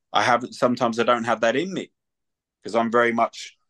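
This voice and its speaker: A man in a London accent at medium pitch and a fairly quick pace, with a dry, close sound with no echo and a quiet background. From London, England. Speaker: retired mixed martial artist and bare knuckle boxer. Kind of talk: casual chat.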